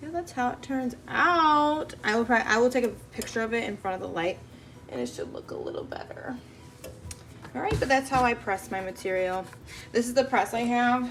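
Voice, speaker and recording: Over music in the background, a woman with a high pitch talks fairly quickly with lively intonation. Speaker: crafting YouTuber. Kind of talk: tutorial. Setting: home workspace. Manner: fast; casual, filler-heavy.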